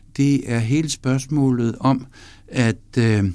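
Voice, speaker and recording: A man's dark, mellow voice at medium pitch, with ordinary pitch variation, on a very clean recording with a silent background. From North Jutland, Denmark. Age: 70s. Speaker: professor. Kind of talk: interview. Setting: studio. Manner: halting with fillers.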